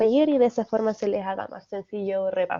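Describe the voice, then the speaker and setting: A woman speaks at a fairly high pitch. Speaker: nutritionist and teaching assistant. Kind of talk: lecture. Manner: fast.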